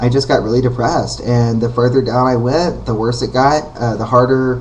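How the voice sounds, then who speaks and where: Noticeable background noise and an audible room echo surround the recording. A man with a medium pitch speaks fairly quickly in a monotone, flat delivery. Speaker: vlogger. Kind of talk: casual vlog monologue. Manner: hesitant, many fillers.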